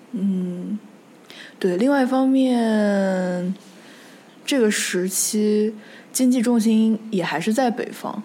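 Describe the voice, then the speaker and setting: A fairly high-pitched woman's voice at a very slow pace, with long, frequent pauses and ordinary pitch variation. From Nanjing, Jiangsu, China. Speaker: history podcast host. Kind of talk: casual discussion.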